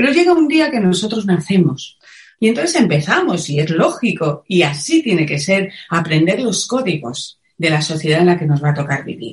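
With a Madrid accent, a woman speaks in a fairly low, somewhat breathy voice at a moderate pace, her pitch swinging very widely. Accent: Castilian Spanish (Madrid). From Spain, Madrid. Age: 50s. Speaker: wellness teacher and author. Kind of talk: interview. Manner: passionate.

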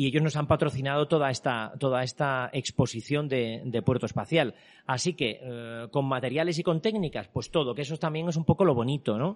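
Hardly pausing, a man with a fairly high pitch speaks at a fairly quick pace in an ordinary speaking voice, with ordinary pitch variation over a quiet background. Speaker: artist and exhibition creator. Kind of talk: interview. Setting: exhibition venue with visitors.

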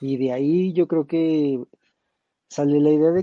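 This is an unremarkable speaking voice. The intonation is fairly even. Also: man. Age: young. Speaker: tech enthusiast panelist. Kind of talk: casual chat.

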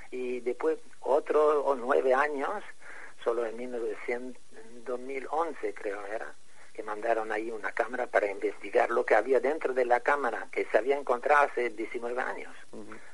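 A man at a fairly slow pace, with noticeable background noise. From Egypt. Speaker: architect and pyramid researcher. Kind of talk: interview. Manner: halting.

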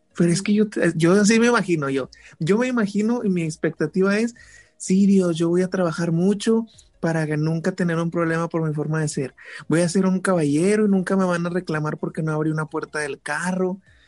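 With music in the background, the speech moves at a fairly quick pace with ordinary pitch variation. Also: man, high pitch for a man. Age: 20s. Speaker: guest. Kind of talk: casual chat.

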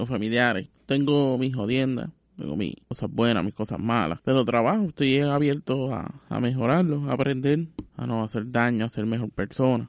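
This man has an ordinary speaking voice, medium pitch, and ordinary pitch variation. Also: moderate pace. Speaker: podcast host. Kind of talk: reflective scripted narration.

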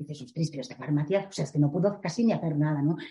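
This woman's voice sits fairly low and carries a dark, mellow tone. It is somewhat breathy. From Galicia, Spain (A Coruña). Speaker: visual merchandiser. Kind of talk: interview. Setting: in person, recorded live. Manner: hesitant, many fillers.

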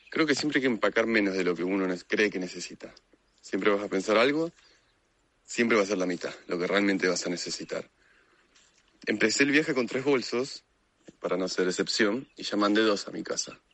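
Despite long, frequent pauses, a man with a Rioplatense accent talks at a fairly quick pace, his fairly low voice showing ordinary pitch variation. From Argentina, Buenos Aires. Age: 20s. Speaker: motorcycle traveler. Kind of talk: recorded testimony.

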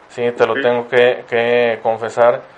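A man is speaking at a fairly slow pace. His pitch is medium. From Ciudad Victoria, Tamaulipas, northeastern Mexico. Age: 30s. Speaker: podcast host. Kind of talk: casual interview. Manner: halting, many repeated words.

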